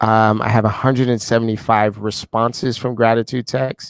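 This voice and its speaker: Recorded with a dry, close sound and no echo, a man with a New York accent speaks monotone with flat intonation. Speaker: group call host.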